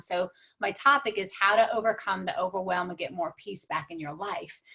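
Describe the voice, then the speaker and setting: A medium-pitched woman with an American accent, a bright, sharp tone and a moderate pace. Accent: slight twang. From New York. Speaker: transformational coach and speaker. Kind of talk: motivational talk.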